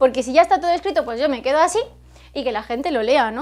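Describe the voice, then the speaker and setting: A woman speaks at a high pitch. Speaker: teacher and YouTuber. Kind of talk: tutorial.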